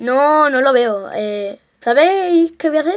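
A woman's high-pitched voice carries an animated tone and lively intonation. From Spain. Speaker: gaming YouTuber. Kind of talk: gameplay commentary.

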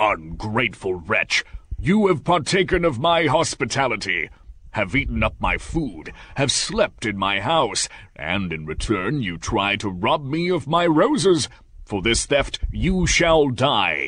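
A man uses a put-on character voice at medium pitch, with very wide pitch swings. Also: fairly slow pace. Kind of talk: fairytale read-aloud acting. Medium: read story. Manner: angry and threatening, then pleading and sorrowful.

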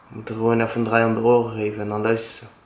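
A man speaks at a very fast pace with a medium pitch, and the room echo is audible. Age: 20s. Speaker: vlogger's boyfriend. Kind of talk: casual chat. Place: home room. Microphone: camera far.

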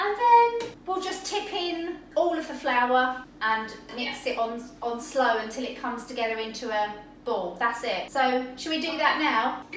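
A woman talks at a fairly slow pace and a high pitch, with audible room echo and light background noise. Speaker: baking teacher. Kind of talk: tutorial. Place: kitchen.

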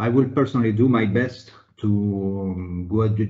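Over a quiet background, a man speaks in a fairly low, somewhat breathy voice. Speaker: webinar moderator, internal audit executive. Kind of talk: moderated panel discussion. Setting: video call webinar. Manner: formal, uses many fillers. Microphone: video call.

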